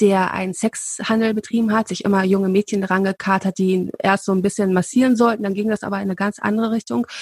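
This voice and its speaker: The woman has a plain, everyday voice at a medium pitch, with fairly even intonation and a dry, close sound with no echo. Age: 30s. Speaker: royalty expert, podcast co-host. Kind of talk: casual chat.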